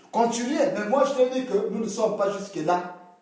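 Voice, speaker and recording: A man speaks at a fairly slow pace in a high voice with an animated tone. Room echo is audible. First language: local Congolese language (speaking French). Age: 40s. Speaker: interviewee. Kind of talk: casual debate.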